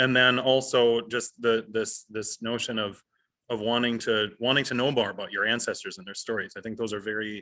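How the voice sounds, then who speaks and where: A man talks at a fairly quick pace with an American accent, his intonation monotone and flat. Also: medium pitch for a man. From United States. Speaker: event host. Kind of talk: interview. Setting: stage with audience. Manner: halting.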